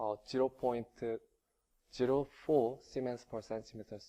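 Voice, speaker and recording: At a fairly slow pace, a man speaks with a Korean accent. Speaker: engineering researcher. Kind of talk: conference presentation. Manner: halting, many fillers.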